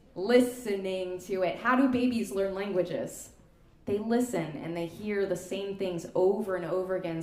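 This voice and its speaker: There's audible room echo and noticeable background noise as a woman speaks in an animated tone. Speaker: klezmer musician leading a workshop. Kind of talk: music workshop instruction. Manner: casual, animated.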